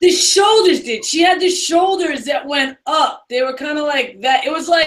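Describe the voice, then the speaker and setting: A woman with a strong New York accent speaks at an extremely high pitch and a fairly slow pace. Her tone is animated and her intonation lively. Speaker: co-host of entertainment news show. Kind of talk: casual chat.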